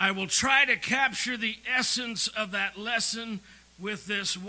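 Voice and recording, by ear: A voice reading aloud naturally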